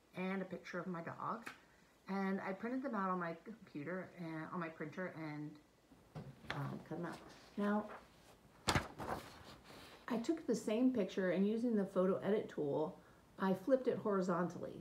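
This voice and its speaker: A woman talks at a moderate pace with ordinary pitch variation and long, frequent pauses. Light background noise runs underneath. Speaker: teacher. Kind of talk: tutorial. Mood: warm, calm storytelling. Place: home room. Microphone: phone near.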